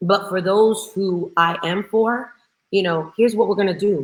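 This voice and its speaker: This woman has a medium-pitched voice. Her tone is animated. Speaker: real estate team leader and coach. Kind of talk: interview. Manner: loud.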